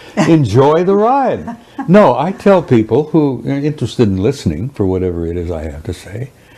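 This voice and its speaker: The speech moves at a moderate pace with very wide pitch swings, over noticeable background noise. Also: man. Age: 70s. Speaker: interviewee, retired military whistleblower. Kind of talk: interview.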